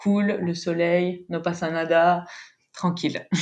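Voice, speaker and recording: Speaking very slowly, a woman uses a fairly low pitch. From French-speaking Belgium. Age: 20s. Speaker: travel planner. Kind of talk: casual interview.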